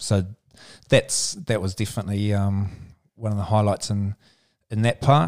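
A man with a New Zealand accent at a fairly low pitch, with ordinary pitch variation and a moderate pace broken by long, frequent pauses, on a very clean recording with a silent background. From New Zealand, Central Otago. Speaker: touch sport administrator and former player. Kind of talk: podcast interview.

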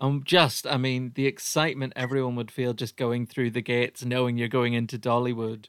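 A man with a medium pitch talks fairly quickly in a monotone, flat intonation, with hardly any pauses. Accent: Irish. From Ireland. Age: 30s. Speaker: podcast host and comedian. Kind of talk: casual chat.

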